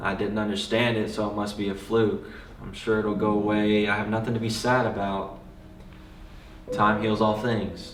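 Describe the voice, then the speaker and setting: Over noticeable background noise and audible room echo, a man speaks in a monotone, flat intonation. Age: 20s. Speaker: personal vlogger sharing mental health story. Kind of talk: personal testimony.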